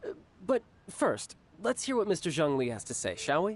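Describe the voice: In a put-on character voice, a man talks at a moderate pace, his fairly high pitch making very wide swings.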